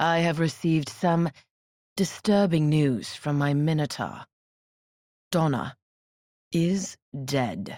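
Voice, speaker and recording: A woman's soft-spoken put-on character voice, very deep and low in pitch, with ordinary pitch variation, a fairly slow pace and long, frequent pauses. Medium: read story. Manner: soft, menacing.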